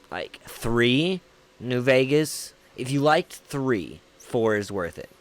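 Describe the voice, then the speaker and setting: Very slowly and with lively intonation, a man speaks with an American accent, his loudness swinging widely over noticeable background noise. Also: medium pitch for a man. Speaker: gaming streamer. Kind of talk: casual chat.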